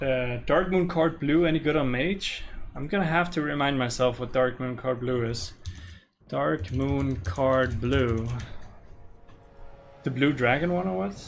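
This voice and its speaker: Against music in the background and audible room echo, a man with a slight Danish accent speaks at a fairly slow pace and medium pitch, with lively intonation and long, frequent pauses. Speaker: gaming streamer. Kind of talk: casual live-stream chat. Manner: casual, relaxed.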